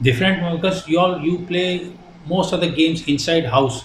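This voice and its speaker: Amid audible room echo, a man talks at a fairly slow pace with fairly even intonation. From India, Punjabi-speaking. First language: Hindi and Punjabi. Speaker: retired ship captain, shipping company director. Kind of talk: interview. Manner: hesitant, many fillers.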